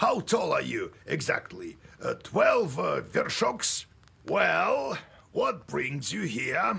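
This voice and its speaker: A man's put-on character voice at a very slow pace. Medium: video game.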